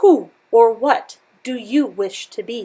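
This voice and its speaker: Putting on a growling character voice, a woman speaks high in pitch at a fairly slow pace. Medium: read story.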